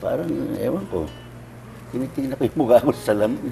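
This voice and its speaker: Fairly quick speech from a man, with music playing behind him. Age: 80s+. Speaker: comedian. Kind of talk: interview answer.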